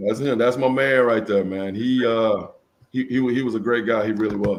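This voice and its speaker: At a moderate pace, a man with an American accent uses an ordinary speaking voice, medium in pitch, with fairly even intonation. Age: 50s. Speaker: former football player. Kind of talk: interview.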